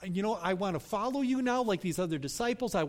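A person is reading aloud. The voice sounds natural.

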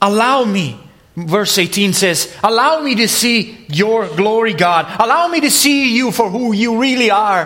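Over noticeable background noise and audible room echo, a man with a high voice speaks at a fairly slow pace, with lively intonation and very even loudness. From Italy. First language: Italian. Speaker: preacher. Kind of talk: sermon.

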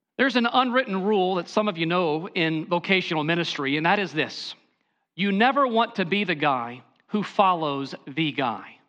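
A raised, projected voice with a bright, sharp tone moves at a moderate pace. Its pitch swings very widely over a quiet background. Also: man. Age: 40s. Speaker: pastor. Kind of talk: sermon.

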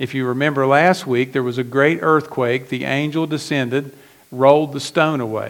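A man with an unremarkable speaking voice and an American accent, fairly high in pitch, at a moderate pace with fairly even intonation. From West Virginia. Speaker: pastor. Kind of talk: sermon.

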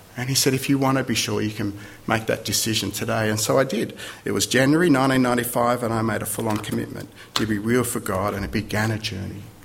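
Amid noticeable background noise and audible room echo, a man with a medium pitch talks at a fairly quick pace with fairly even intonation. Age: 50s. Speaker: visiting preacher. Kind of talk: sermon.

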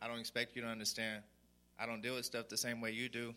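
The man talks very fast at a medium pitch. His tone is bright and sharp, and his intonation stays monotone and flat. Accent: West Texas. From Sweetwater, Texas. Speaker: recovery program resident. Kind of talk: testimony. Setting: church.

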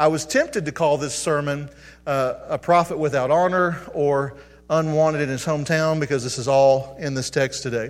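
An ordinary speaking voice: a man with a fairly high pitch talks at a moderate pace with fairly even intonation. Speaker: pastor. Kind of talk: sermon. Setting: church.

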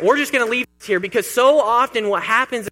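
Raised and projected, a man's voice with an American accent reaches an extremely high pitch in a bright, sharp tone. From Kansas, US. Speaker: pastor. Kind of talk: sermon.

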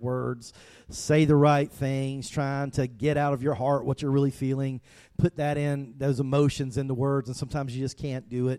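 Speaking in a strong South Georgia accent, a man has a dark, mellow tone and fairly high pitch, with a moderate pace and fairly even intonation. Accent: thick South Georgia. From US South, South Georgia. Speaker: pastor. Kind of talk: sermon.

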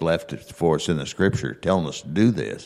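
A man with a very deep, low pitch and vocal fry, ordinary pitch variation, and a moderate pace. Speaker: bible class participant. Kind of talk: informal, conversational scripture discussion. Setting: church classroom, speaking into a handheld microphone.

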